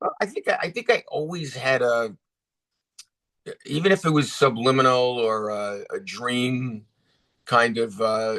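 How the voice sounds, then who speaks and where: Using a bright, sharp tone, a man with an American accent speaks at a fairly slow pace and a medium pitch, with ordinary pitch variation and long, frequent pauses. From New York, Bronx and Rockland County. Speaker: actor and director. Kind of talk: interview. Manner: casual, with many fillers.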